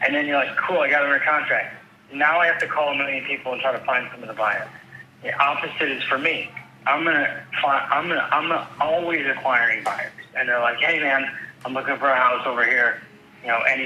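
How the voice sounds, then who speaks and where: A man with an upstate New York accent talks at a very fast pace and fairly high pitch, with ordinary pitch variation. Audible room echo and noticeable background noise are present. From upstate New York (Rochester). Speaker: real estate agent. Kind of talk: phone call conversation. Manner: animated.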